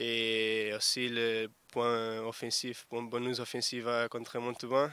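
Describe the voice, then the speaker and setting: A man with a Portuguese accent talks at a medium pitch in a bright, sharp tone. His intonation is monotone and flat. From Portugal. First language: Portuguese (speaking French). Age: 20s. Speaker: rugby winger. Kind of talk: sports interview. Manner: halting.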